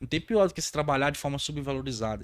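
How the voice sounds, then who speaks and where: The speech moves at a very fast pace with lively intonation. The recording is very clean, with a silent background. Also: man. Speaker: podcast host, maintenance career coach. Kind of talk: casual podcast chat. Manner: stumbling, runs words together.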